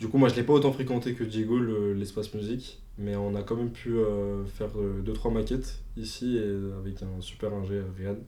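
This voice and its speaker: With audible room echo, a man speaks at a fairly low pitch and a moderate pace, in a dark, mellow tone with fairly even intonation and hardly any pauses. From Paris suburbs, France. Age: 20s. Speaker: aspiring rapper. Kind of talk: interview self-introduction. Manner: hesitant, many fillers.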